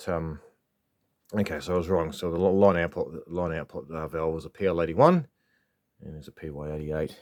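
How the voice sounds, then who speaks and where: A New Zealand accent at a fairly quick pace, with long, frequent pauses, big swings in loudness and fairly even intonation, on a very clean recording with a silent background. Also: man, very deep, low pitch for a man. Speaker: vintage electronics hobbyist. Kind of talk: tutorial. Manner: halting; casual.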